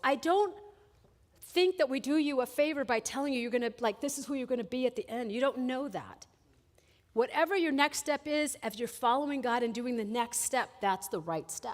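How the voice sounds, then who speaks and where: Using lively intonation, a woman talks at a moderate pace and high pitch. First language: Spanish. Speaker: college administrator. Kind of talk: chapel talk. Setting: college chapel. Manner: conversational.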